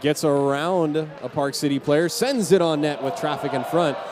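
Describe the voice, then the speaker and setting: There is noticeable background noise as a man speaks with an American accent. His pitch is fairly high, with ordinary variation. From Southern California. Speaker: hockey play-by-play announcer. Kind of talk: live sports commentary.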